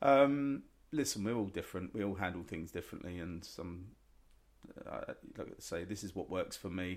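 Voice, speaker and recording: This man has an English accent and a fairly low pitch, speaking at a moderate pace with lively intonation. The recording is very clean, with a silent background. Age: 40s. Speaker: chef. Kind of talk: casual chat.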